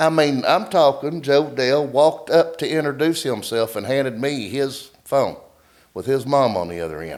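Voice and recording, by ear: At a moderate pace, the pitch shifts in an ordinary way. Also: man, medium pitch for a man.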